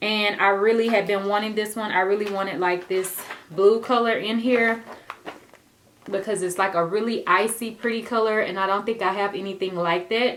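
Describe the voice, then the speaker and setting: A woman's intonation stays fairly even as she talks through noticeable background noise. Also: medium pitch for a woman, moderate pace. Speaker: beauty vlogger. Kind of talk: casual product haul.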